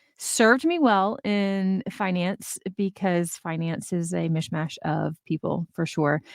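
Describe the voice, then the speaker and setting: Recorded dry and close with no echo, a woman with a Southern US accent talks at a medium pitch with ordinary pitch variation. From Georgia, south of Atlanta. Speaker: finance mentor. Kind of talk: casual interview chat.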